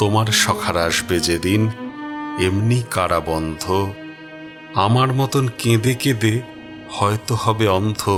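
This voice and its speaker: A man's fairly low voice with ordinary pitch variation and very even loudness, over music in the background. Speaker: reciter. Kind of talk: poetry reading. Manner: emotional, mournful.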